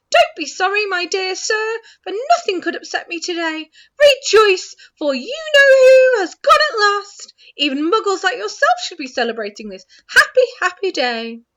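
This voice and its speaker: A woman puts on a squeaky character voice, raised and projected at an extremely high pitch, with very wide pitch swings at a moderate pace. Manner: jubilant, delighted.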